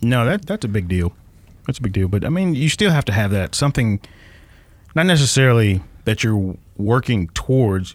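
Very wide pitch swings at very even loudness, a moderate pace, and long, frequent pauses. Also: man, medium pitch for a man. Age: 20s. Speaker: podcast co-host. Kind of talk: casual chat.

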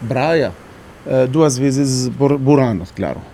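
A man's fairly high voice with an Arabic accent over noticeable background noise. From Syria. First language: Arabic (speaking Portuguese). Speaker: engineer turned home cook. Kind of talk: interview. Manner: hesitant, many fillers.

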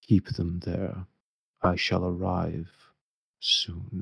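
At a very slow pace, a man puts on a character voice with a very deep, low pitch and fairly even intonation. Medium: actual play. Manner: brief, commanding.

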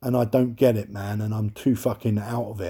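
A dark, mellow, somewhat breathy male voice with a London accent, at a moderate pace. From London, England. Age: 30s. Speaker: podcast host. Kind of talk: solo monologue rant. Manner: animated.

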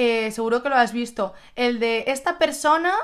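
A woman speaks in a high voice at a fairly slow pace, her tone animated and her intonation lively. The recording is very clean, with a silent background. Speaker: podcast host. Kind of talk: casual chat. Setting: recording at home together.

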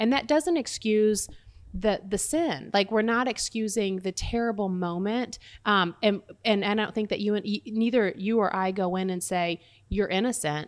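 Her pitch sits in the medium range for a woman, with ordinary variation. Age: 40s. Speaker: prison ministry volunteer. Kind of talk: casual chat. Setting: home kitchen. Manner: fast; animated.

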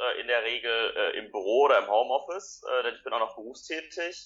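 The pace of this man's speech is fairly quick. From Ruhr area, Germany (Essen). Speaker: youth party official. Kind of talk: interview.

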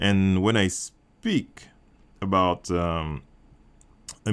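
A man with a French accent speaks in a very deep, low voice. The recording is very clean, with a silent background. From Martinique. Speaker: filmmaker. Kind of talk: interview. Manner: halting, many fillers.

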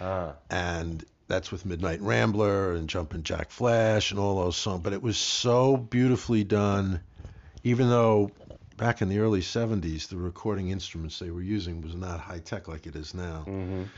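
A man with an American accent, very deep and low in pitch, at a moderate pace with ordinary pitch variation. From New York, Yonkers and Manhattan. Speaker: podcast guest, music enthusiast. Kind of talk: casual chat.

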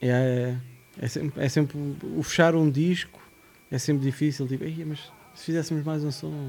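Over noticeable background noise, a man with a fairly high pitch speaks in a flat monotone at a moderate pace, pausing long and often. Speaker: hip-hop producer. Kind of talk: casual chat.

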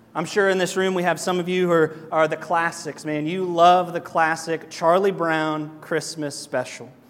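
A man speaks at a high pitch. His intonation is monotone and flat. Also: moderate pace, hardly any pauses. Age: 30s. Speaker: pastor. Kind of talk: sermon. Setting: church. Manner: casual and joking.

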